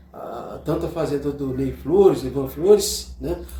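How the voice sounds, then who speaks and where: Spoken at a fairly slow pace, the voice sits over noticeable background noise. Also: man. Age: 70s. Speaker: teacher, interview guest. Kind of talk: casual interview, reminiscing. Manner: halting, repeats words.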